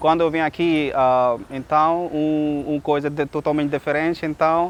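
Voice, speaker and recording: A man's fairly high voice keeps a fairly even intonation as he talks at a fairly slow pace. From Pakistan. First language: Urdu or another Pakistani language (speaking Portuguese). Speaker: English teacher and Portuguese learner. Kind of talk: casual personal account. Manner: halting, many hesitations.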